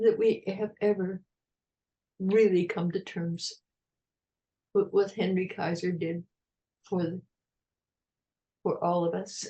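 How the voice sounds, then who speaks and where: A woman with an American accent speaks at a very slow pace in a somewhat breathy, dark, mellow tone, with fairly even intonation and long, frequent pauses. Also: medium pitch for a woman. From United States. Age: 80s+. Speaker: retired park ranger, historian. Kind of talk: interview answer.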